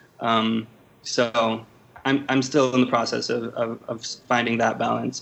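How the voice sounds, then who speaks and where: A man with an American accent, fairly slow and monotone, with flat intonation. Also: medium pitch for a man. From Los Angeles, US. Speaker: editor in chief, journalist. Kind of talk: interview. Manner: halting, many fillers and repeats.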